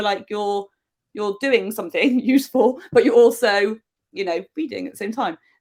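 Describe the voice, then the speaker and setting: A woman with a southern English accent speaks at a fairly high pitch. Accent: English (southern England). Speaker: novelist. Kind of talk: interview. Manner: fast.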